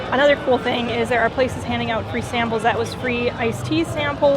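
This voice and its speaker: With a Minnesotan accent, a woman talks at a fairly quick pace over music in the background, with audible room echo. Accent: Minnesota. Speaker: travel vlogger. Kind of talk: casual vlog commentary. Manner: animated.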